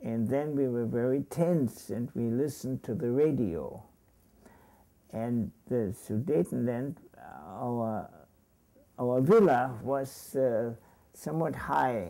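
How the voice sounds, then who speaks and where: With a German accent, a man with a dark, mellow, medium-pitched voice speaks at a very slow pace with lively intonation and long, frequent pauses. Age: 80s+. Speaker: Holocaust survivor; retired psychology professor. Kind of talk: interview answer.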